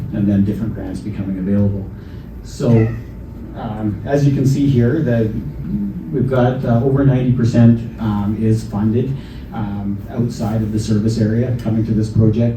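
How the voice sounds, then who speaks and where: A man talks at a moderate pace and a medium pitch, his intonation fairly even. The room echo is audible, and so is the background noise. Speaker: local government staff presenting project finances. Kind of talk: public information meeting presentation. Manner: halting, many fillers. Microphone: handheld mic, may be too quiet.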